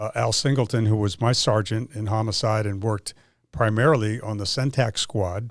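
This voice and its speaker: A man talks at a moderate pace with a fairly low pitch and fairly even intonation. It is an ordinary speaking voice. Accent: American. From Miami, Florida. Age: 60s. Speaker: retired homicide detective. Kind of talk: interview.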